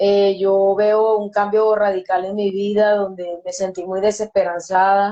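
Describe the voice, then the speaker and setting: A woman speaks with a Venezuelan accent at medium pitch. Her pace is very slow and her intonation monotone and flat. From Venezuela, Yaracuy state. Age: 30s. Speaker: recovered drug user. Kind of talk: testimony. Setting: online live stream.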